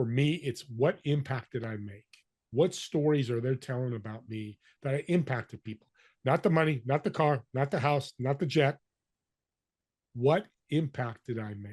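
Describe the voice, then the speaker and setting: Against a quiet background, a man's somewhat breathy voice rises and falls sharply in loudness. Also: medium pitch for a man, ordinary pitch variation, moderate pace. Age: 60s. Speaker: business connector and podcaster. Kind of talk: interview. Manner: animated.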